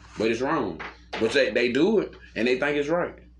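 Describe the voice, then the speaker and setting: Moderate speech from a man amid noticeable background noise. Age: 30s. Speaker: podcast host. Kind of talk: casual chat. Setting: downstairs room, in person.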